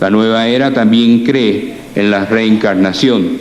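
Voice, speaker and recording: There's noticeable background noise and audible room echo. A man speaks at a fairly slow pace with ordinary pitch variation. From Cuba, left at age four, raised in the US. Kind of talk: lecture. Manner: halting, frequent self-corrections.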